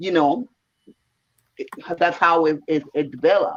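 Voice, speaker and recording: A fairly quick pace with a Caribbean accent. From Puerto Rico. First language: Spanish. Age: 50s. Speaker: volunteer translator, massage therapist. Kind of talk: casual chat.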